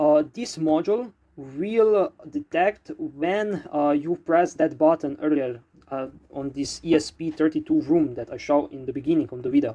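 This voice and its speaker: A man's fairly high voice with a dark, mellow tone and a non-native accent, ordinary pitch variation, big swings in loudness and a moderate pace. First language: not English. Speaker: DIY electronics hobbyist YouTuber. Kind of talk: project explanation video. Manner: halting, many fillers.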